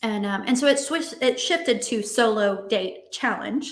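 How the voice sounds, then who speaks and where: Audible room echo carries a woman's high-pitched voice with lively intonation. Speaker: dating and relationship coach. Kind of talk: online summit talk with exercise. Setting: virtual conference. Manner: fast.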